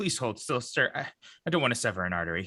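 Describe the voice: A man at medium pitch does a put-on character voice at a fast pace, with big pitch swings. The tone is bright and sharp, with a slightly husky edge.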